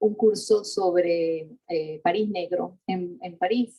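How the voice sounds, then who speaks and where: A woman speaks with a Latin American accent in a dark, mellow tone. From Venezuela (Mérida, Andes). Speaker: architecture historian, professor. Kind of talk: interview conversation. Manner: halting, many restarts and fillers.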